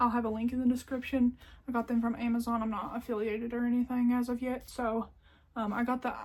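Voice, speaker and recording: Talking at a very fast pace, a woman with an American accent speaks in a high voice. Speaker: crochet YouTuber. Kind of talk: haul video, casual chat to camera. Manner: animated.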